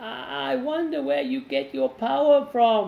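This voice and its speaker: Using a put-on character voice, a man talks at a fairly slow pace in a high pitch, with very wide pitch swings. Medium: read story.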